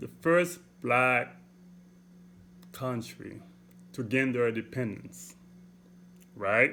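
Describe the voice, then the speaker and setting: A man speaks in a strong Haitian accent with a bright, sharp tone at a medium pitch. His pace is very slow, his pitch varies normally, and he pauses long and often. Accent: heavy Haitian. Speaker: motivational vlogger. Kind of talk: motivational talk. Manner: deliberate, clear; repeats okay, halting restarts.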